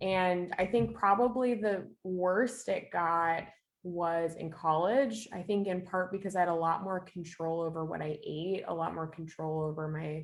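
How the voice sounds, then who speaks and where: At a fairly slow pace with hardly any pauses, a woman speaks in a plain, everyday voice, fairly low in pitch, with ordinary pitch variation. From eastern Canada. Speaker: minister and former social worker. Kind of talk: podcast interview, personal testimony.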